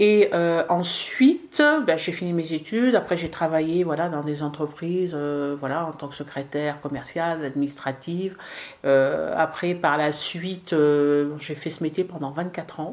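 Her pitch is fairly low and her intonation fairly even as the woman speaks. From western France. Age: 50s. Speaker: tea room owner and cook. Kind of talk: interview. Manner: hesitant, many fillers.

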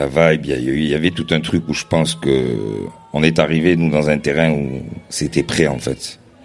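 Over noticeable background noise, a man with a very deep, low pitch talks at a fairly slow pace with fairly even intonation. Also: long, frequent pauses. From Marseille, France. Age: 30s. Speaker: DJ collective co-founder. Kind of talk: live podcast interview. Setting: stage with live audience.

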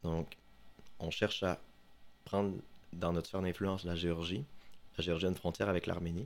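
At a fairly quick pace but with long, frequent pauses, a man talks in a very deep, low pitch with fairly even intonation. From Quebec, Saguenay (Chicoutimi). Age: 20s. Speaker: student, podcast columnist. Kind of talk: casual podcast chat.

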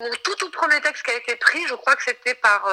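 A woman speaks at a fairly quick pace with a high pitch and lively intonation. Noticeable background noise runs underneath. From France, Marseille. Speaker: songwriter and novelist. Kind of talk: interview.

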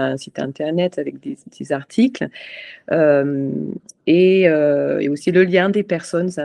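The recording is dry and close, without any echo. A woman talks at a fairly slow pace. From Scotland, Edinburgh. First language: English (speaking French). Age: 40s. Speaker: charity president. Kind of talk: interview. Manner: halting.

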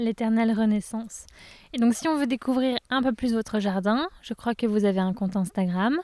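A woman with a fairly high pitch and a dark, mellow tone speaks at a moderate pace with ordinary pitch variation and very even loudness. The recording is very clean, with a silent background and a dry, close sound with no echo. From France, Touraine. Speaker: podcast host. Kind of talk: interview. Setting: outdoors in a garden.

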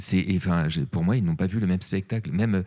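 With a very deep, low pitch and a dark, mellow tone, a man speaks at a moderate pace using ordinary pitch variation. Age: 40s. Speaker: actor and voice actor. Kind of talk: interview. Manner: animated storytelling; hesitant, repeats words.

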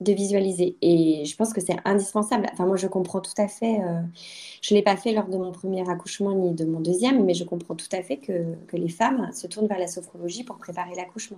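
At a fairly quick pace, a woman speaks with a medium pitch, fairly even intonation and a dark, mellow tone. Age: 30s. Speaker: lawyer. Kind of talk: personal testimony interview. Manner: hesitant, many fillers.

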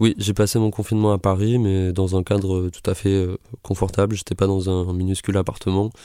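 A man speaks at a moderate pace in a very deep, low voice with a dark, mellow tone and monotone, flat intonation. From France, Toulouse area. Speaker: singer-songwriter. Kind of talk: radio interview. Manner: hesitant, many fillers.

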